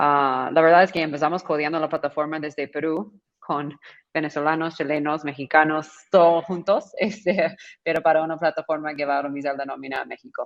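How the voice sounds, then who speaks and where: A woman speaks at a fairly quick pace with an American accent. Her pitch is very deep and low, and her intonation is monotone and flat. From California, US. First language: English (speaking Spanish). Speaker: startup founder. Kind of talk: panel discussion.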